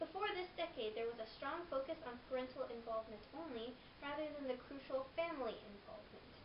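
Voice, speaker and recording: A high-pitched woman at a fairly quick pace over noticeable background noise. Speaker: presenter. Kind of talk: informational presentation. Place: empty room. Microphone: camera far.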